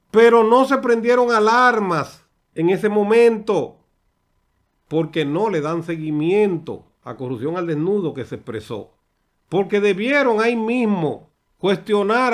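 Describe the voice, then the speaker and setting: Against a quiet background, a man with a high pitch and ordinary pitch variation talks at a fairly slow pace. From Dominican Republic. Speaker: political commentator. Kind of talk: political commentary monologue. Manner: animated. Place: studio. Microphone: studio mic.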